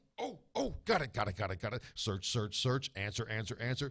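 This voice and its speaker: A man with an American accent talks at a fairly quick pace. His tone is animated, with vocal fry. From New Jersey (East Brunswick). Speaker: guest. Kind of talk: casual chat.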